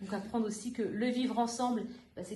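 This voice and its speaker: A woman talks very fast in a fairly high, monotone, flat voice. Noticeable background noise and audible room echo surround her. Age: 30s. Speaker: youth worker trainee, former language teacher. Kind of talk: podcast interview.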